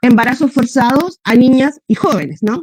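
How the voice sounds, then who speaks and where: Dry, close sound with no echo and a Chilean accent. The pitch varies in an ordinary way. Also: woman. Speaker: feminist activist panelist. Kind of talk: panel talk. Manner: fast.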